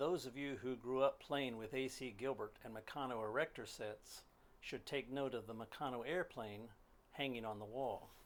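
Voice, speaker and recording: At a moderate pace and medium pitch, a man uses an ordinary speaking voice with fairly even intonation. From moved often: Pennsylvania, Maryland, Alaska, western US, Canada. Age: 60s. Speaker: hobbyist machinist, DIY builder. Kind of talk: narrated slideshow commentary.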